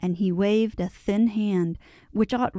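The reading voice is unforced, with intonation that stays fairly even.

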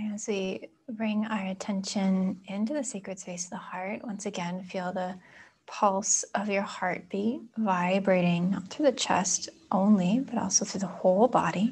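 A woman speaks at a medium pitch with fairly even intonation. Her voice is somewhat breathy. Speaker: yoga and meditation teacher; meditation teacher. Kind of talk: guided meditation. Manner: slow, calm. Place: home room.

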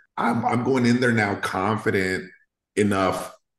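A man with an American accent speaks at a fairly slow pace with ordinary pitch variation. The background is quiet, though room echo is audible. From Salinas, California. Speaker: restoration contractor. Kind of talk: casual podcast interview answer. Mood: candid, animated, casual swearing. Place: home room. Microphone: webcam.

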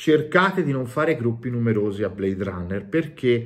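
A man talks in an animated, somewhat breathy tone with very wide pitch swings. The background is quiet. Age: 40s. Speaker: YouTuber and tabletop game master; YouTuber. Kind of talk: game review monologue. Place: home room. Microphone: phone near.

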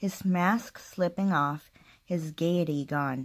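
In a quiet background, a woman with a strong Spanish accent speaks very slowly, her very deep, low voice carrying lively intonation. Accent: thick Spanish-accented English. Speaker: book vlogger. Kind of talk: casual vlog with reading aloud. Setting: home alone, recording video. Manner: halting. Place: home room. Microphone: phone near.

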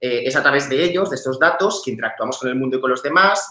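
In a quiet background with audible room echo, a man speaks at a fairly high pitch with ordinary pitch variation. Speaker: researcher; conference presenter. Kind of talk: conference presentation. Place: home room. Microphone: webcam.

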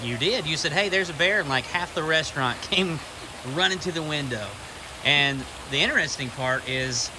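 Against noticeable background noise, a man talks at a moderate pace with ordinary pitch variation. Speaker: family travel vlogger. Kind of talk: casual vlog chat. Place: garden. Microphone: phone near.

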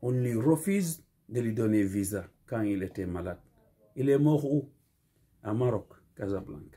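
With a dark, mellow, somewhat breathy tone, a man talks at a fairly slow pace with lively intonation and long, frequent pauses. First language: Fula (Pular) (speaking French). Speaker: community speaker; speaker. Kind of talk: video monologue appeal. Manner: impassioned. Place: home room. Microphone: phone near.

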